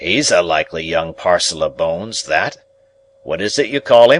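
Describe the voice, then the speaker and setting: Raspy put-on character voice of a man, moderate in pace. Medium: read story. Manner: sly, probing questions.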